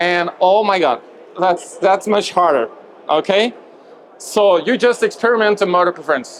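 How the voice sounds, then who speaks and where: Over noticeable background noise, a man with a high pitch talks at a moderate pace, his loudness very even and his pitch variation ordinary. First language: French. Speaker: movement coach presenter. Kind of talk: lecture. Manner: halting.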